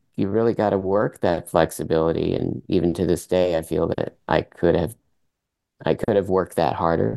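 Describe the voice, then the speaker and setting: With a very deep, low pitch and a dark, mellow tone, this man speaks at a moderate pace with ordinary pitch variation. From Vermont, US, French-Canadian family. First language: French. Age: 50s. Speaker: circus performer and athlete. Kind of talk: casual interview.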